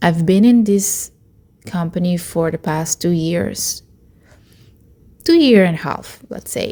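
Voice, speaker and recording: Speaking at a very slow pace with long, frequent pauses, a woman with a Spanish accent has a fairly low pitch, ordinary pitch variation and a dark, mellow tone. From Latin America. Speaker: vlogger, tech worker. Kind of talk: personal vlog monologue. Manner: hesitant, with fillers.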